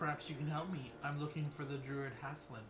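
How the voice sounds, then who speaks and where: A man performs a put-on character voice at a fairly quick pace. Loud background noise runs underneath. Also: fairly high pitch for a man. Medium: video game.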